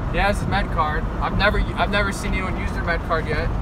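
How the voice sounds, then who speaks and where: A man at a fairly quick pace, dry sound with no echo, over loud background noise. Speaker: vlogger driving. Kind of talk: casual vlog chat. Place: car.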